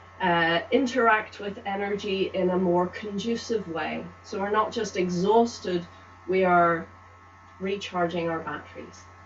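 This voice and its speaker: Speaking at a fairly slow pace, a woman with a medium pitch uses ordinary pitch variation over noticeable background noise. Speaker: tai chi instructor. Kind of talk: guided movement class and guided relaxation. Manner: calm, gentle.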